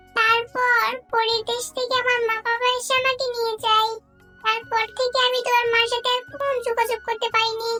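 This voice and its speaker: A cartoonish character voice speaks at an extremely high pitch with monotone, flat intonation. Faint music plays in the background. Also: moderate pace. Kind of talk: children's cartoon voice acting. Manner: gentle, soothing.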